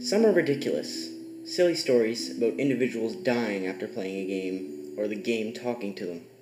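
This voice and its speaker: A man speaks at a moderate pace with very wide pitch swings. Music plays in the background. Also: medium pitch for a man. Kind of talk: creepypasta narration. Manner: stuttering.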